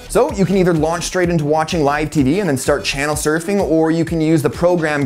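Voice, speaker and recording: A man speaks fairly quickly while faint music plays behind him. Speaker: tech reviewer. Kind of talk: tutorial. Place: home room. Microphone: lapel.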